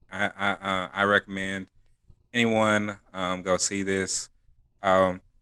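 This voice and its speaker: A man speaks very slowly in a fairly low, monotone, flat voice. Long, frequent pauses break up the speech on a very clean recording with a silent background. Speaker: podcast co-host. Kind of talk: casual chat.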